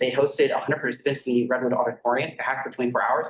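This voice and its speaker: Somewhat breathy, a man speaks very fast at a medium pitch. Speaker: student club president presenting a funding request. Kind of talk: presentation. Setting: student government meeting.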